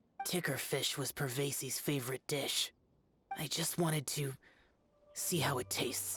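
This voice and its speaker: Music plays in the background as a put-on character voice speaks in a low-to-middle pitch. The pace is moderate, with long, frequent pauses. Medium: video game. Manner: terse, reserved.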